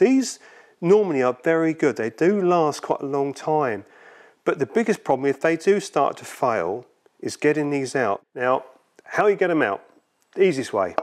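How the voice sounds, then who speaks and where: In a quiet background, a man talks at a moderate pace. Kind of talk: tutorial. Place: workshop.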